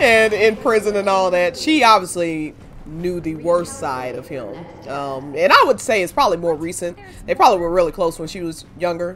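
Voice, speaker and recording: Against noticeable background noise, a woman speaks at a moderate pace in a fairly low pitch. Her intonation is lively, and her loudness swings widely. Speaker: gaming streamer. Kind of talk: let's play commentary. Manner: mumbling.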